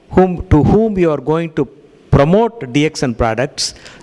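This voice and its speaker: A man's fairly high voice rises above noticeable background noise. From India. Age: 60s. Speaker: cardiologist giving a health lecture. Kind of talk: lecture with consecutive interpretation. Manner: halting, many fillers.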